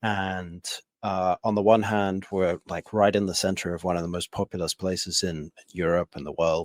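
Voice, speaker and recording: A man's very deep, low pitch in an English accent, at a moderate pace with monotone, flat intonation, in a very clean recording with a silent background. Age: 30s. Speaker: podcast host. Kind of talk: casual interview chat.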